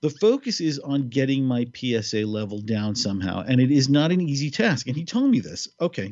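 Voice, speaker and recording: A man's normal speaking voice, a normal speaking voice at a medium pitch and moderate pace, with lively intonation and hardly any pauses. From New York City. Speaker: podcast co-host. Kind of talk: casual chat.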